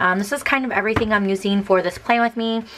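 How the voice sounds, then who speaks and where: A woman talks fairly quickly while noticeable noise runs in the background. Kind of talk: casual talk to camera.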